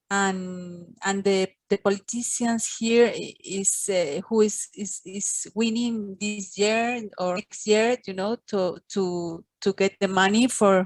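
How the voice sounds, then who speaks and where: Speaking at a very slow pace, a woman keeps her intonation fairly even at medium pitch. The sound is dry and close, with no echo. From Venezuela. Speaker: webinar participant. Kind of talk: Q&A question. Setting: video call. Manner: halting.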